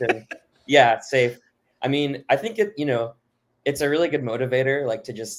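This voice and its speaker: Speaking at a fairly quick pace with long, frequent pauses, a man with an American accent uses a medium pitch and ordinary pitch variation. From Florida, Miami. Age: 20s. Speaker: music fan. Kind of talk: podcast interview. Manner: halting, many fillers.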